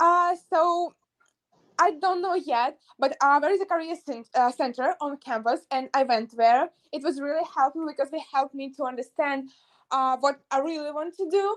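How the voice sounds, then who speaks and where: A high-pitched woman's voice with a Russian accent, ordinary pitch variation and a moderate pace, in a dry, close sound with no echo. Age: young, about 18 to 19. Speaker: university student. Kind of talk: interview. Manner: halting, frequent hesitations.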